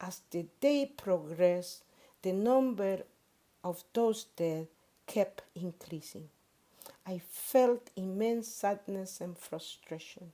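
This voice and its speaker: A woman with a Spanish accent and a dark, mellow tone speaks at a very slow pace and a medium pitch, with ordinary pitch variation and big swings in loudness. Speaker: pastor. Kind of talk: sermon. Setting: worship service.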